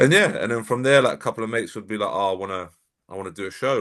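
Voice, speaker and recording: Against a quiet background, a man with a London accent speaks very fast with ordinary pitch variation. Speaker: bodybuilding coach. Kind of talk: casual podcast interview.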